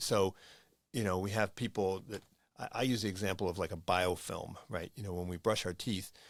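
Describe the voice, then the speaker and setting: On a very clean recording with a silent background, a man with an American accent speaks in an ordinary speaking voice, fairly low in pitch with fairly even intonation. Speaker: podcast host. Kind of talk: interview conversation.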